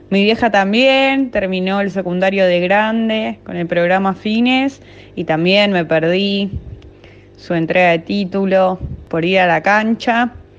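A woman speaks fairly slowly with ordinary pitch variation while music plays in the background. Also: medium pitch for a woman. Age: 20s. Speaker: football fan. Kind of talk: personal testimony.

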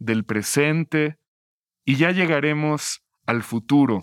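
Lively in intonation, a man speaks at a very slow pace. The recording is very clean with a silent background, dry and close with no echo. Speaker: podcast host. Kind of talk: interview and narration.

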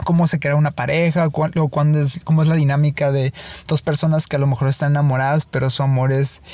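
A man speaks very fast in a Mexican accent, with a monotone, flat delivery. His loudness stays very even over noticeable background noise. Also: fairly high pitch for a man. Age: 30s. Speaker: filmmaker. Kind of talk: casual chat. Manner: halting.

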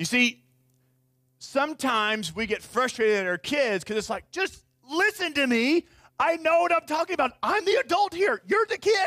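A raised, projected voice with a bright, sharp tone moves at a moderate pace. Its pitch swings very widely, and the sound is dry and close with no echo. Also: man, extremely high pitch for a man. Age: 30s. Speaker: pastor. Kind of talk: sermon. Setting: church.

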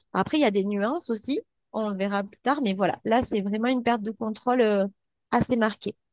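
A woman speaks in an unremarkable speaking voice at a fairly high pitch with ordinary variation. Her moderate pace comes through in a dry, close sound with no echo. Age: 30s. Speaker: psychologist. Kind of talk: interview.

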